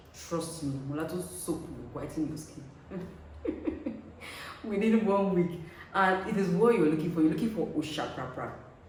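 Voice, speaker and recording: Moderate pace with long, frequent pauses and noticeable background noise. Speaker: skincare content creator. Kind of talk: casual talk to camera.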